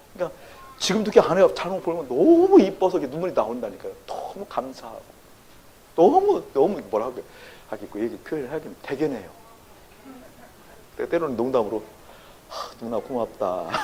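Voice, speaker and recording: Animated and fairly quick, a man talks with big swings in loudness and long, frequent pauses against noticeable background noise. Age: 60s. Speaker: pastor. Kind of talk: sermon. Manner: animated, engaging audience with questions.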